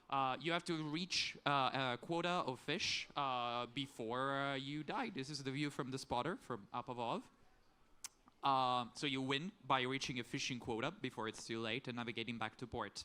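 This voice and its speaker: The man's tone is bright and sharp, at a medium pitch with ordinary pitch variation. He keeps a moderate pace. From Sicily, Italy. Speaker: indie game developer. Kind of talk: pitch presentation. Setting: stage with audience.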